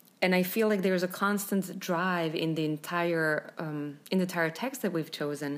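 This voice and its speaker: A woman speaks with a Slovenian accent. Her pitch sits fairly low. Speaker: composer and podcast co-host. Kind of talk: casual chat about music and Shakespeare.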